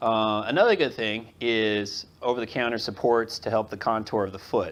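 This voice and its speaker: Against a quiet background, a man speaks at a medium pitch with fairly even intonation. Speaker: podiatrist. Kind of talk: lecture. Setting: audience of nurses, filmed. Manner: fast.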